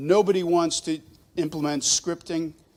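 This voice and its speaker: A man with an American accent and an unremarkable speaking voice talks at a moderate pace in a fairly high pitch. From Boston. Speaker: startup presenter. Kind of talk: pitch presentation.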